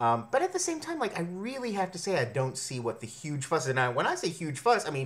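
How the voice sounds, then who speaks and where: A man talks at a very fast pace with hardly any pauses. His voice is high, with very wide pitch swings. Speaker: vlogger reviewing media. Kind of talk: casual vlog monologue. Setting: home, talking into computer camera. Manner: quiet, kept down; rambling, filler-heavy. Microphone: built-in computer camera mic.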